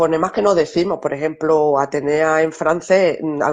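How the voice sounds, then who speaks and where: Against a quiet background, the speaker talks with an Andalusian accent. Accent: Andalusian Spanish, dropped R sounds. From Andalusia, Spain.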